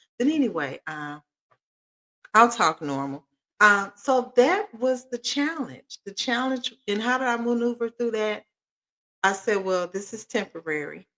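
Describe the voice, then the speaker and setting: A woman with a fairly high pitch talks at a fairly slow pace, her pitch swinging very widely. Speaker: podcast co-host, mother co-parenting. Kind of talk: casual chat. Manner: loud.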